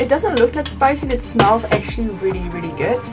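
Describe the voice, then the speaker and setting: Clearly audible music plays behind a woman as she talks. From Netherlands. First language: Dutch. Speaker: vlogger. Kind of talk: casual talk to camera. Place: home room. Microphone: phone near.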